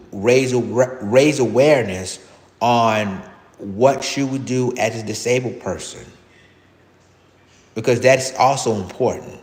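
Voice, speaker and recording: A man talks at a medium pitch, varying it in an ordinary way, with audible room echo in the recording. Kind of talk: live stream monologue. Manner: halting.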